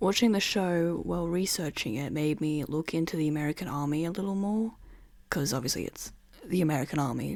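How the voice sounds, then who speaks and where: A woman with an Australian accent speaks at a moderate pace with lively intonation. Her pitch is very deep and low. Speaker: podcaster. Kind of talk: casual monologue. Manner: casual, rambling asides.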